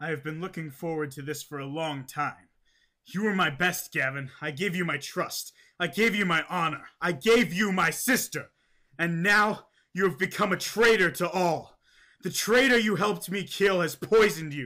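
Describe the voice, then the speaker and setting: At a moderate pace, a man uses a high-pitched, cartoonish character voice in a very clean recording with a silent background. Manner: cold, accusing.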